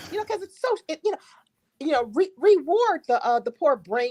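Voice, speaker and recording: A woman talks in an animated tone with very wide pitch swings. The sound is dry and close, with no echo. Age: 60s. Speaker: co-host on a live discussion stream. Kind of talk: casual chat.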